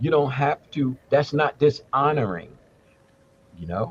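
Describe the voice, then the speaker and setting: A man's somewhat breathy voice comes at a fairly slow pace, its pitch varying in an ordinary way. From United States. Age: 70s. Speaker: Ifa elder and English professor. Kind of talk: casual chat. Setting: live stream.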